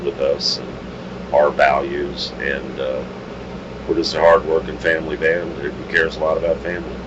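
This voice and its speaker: You can hear a man's voice. There is noticeable noise behind it. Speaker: rock singer and bandleader. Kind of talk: casual interview. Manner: loud.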